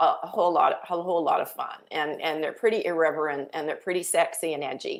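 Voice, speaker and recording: A woman with a slight Canadian accent at a fairly quick pace. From Canada. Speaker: author. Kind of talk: interview.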